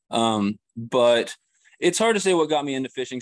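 A man with an American accent, lively intonation and a moderate pace, dry and close with no echo over a quiet background. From Kansas City area, Missouri. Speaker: fishing YouTuber and grad student. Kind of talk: casual interview.

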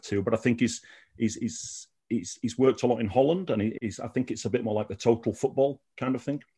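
Over a quiet background, a man with a Sheffield accent talks at a moderate pace with ordinary pitch variation. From Sheffield, England. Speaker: Malmo football fan. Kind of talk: casual interview chat.

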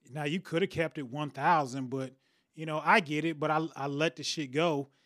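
A man with a fairly high voice talks at a moderate pace in a fairly even tone, leaving long, frequent pauses, in a dry, close recording with no echo. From Detroit, Michigan. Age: 40s. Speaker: podcast host. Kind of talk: casual chat.

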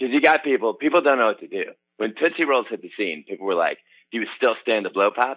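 A man talking at a very fast pace. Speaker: caller. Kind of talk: casual comedic call-in. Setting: phone call.

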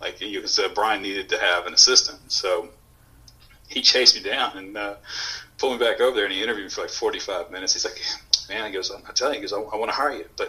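Very fast speech comes from a man with an American accent, backed by noticeable background noise. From Houston, Texas. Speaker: coffee company owner and former Marine. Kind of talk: casual interview.

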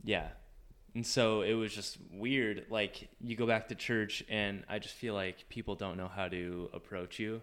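A man with an ordinary speaking voice talks at a fairly low pitch and a fairly slow pace. His intonation is fairly even, and the recording is very clean with a silent background. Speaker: former missionary. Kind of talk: casual chat.

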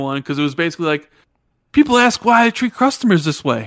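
The recording of this man is very clean, with a silent background and a dry, close sound with no echo. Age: 40s. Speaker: gaming commentator. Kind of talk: casual chat. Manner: loud.

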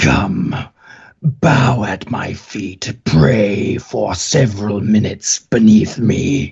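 Someone uses a put-on character voice at a very slow pace. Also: man, fairly low pitch for a man. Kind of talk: commanding, theatrical. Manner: menacing.

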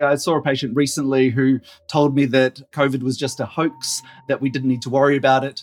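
A man's medium-pitched, monotone voice with an Australian accent, flat in intonation and fairly quick in pace. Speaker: general practitioner doctor. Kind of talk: interview. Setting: pre-recorded remote interview.

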